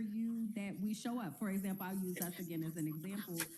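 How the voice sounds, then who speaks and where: The voice moves at a fairly quick pace with ordinary pitch variation. Noticeable background noise sits behind it. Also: woman. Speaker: podcast co-host. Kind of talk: casual chat. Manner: loud; animated.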